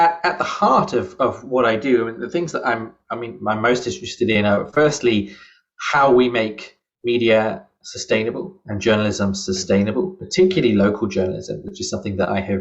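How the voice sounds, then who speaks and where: Here a man speaks with a British accent at medium pitch. His pace is fairly quick and his pitch swings very widely. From UK. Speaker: journalism professor. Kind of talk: interview.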